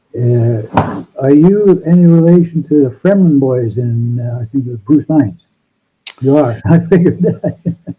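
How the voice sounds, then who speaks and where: Speaking at a fairly slow pace, a man uses an ordinary speaking voice. His pitch is fairly high and his intonation is lively. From Canada, Sault Ste. Marie, Ontario. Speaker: band guitarist and songwriter. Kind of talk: casual interview. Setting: video call.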